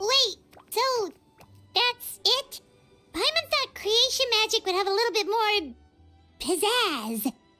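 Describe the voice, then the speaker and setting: A woman uses a put-on character voice pitched extremely high, at a fairly slow pace with long, frequent pauses and very even loudness. Faint music plays in the background. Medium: video game. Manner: refers to self in third person; bubbly, lively.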